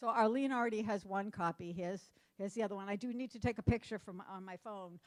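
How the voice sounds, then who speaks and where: A woman with an American accent talks at a very fast pace in a medium pitch, recorded with a dry, close sound and no echo. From Massachusetts (Cape Cod). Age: 60s. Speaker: conference speaker on domestic violence. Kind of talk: conference talk. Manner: casual, animated.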